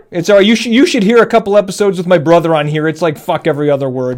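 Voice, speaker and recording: Talking very fast, a man uses a high pitch, an animated tone and lively intonation. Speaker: podcast host. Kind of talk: interview.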